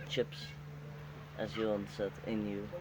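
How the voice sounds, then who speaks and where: Over noticeable background noise, a man with a Dutch accent speaks at a moderate pace and a fairly low pitch. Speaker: interviewee. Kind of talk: group interview. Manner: halting.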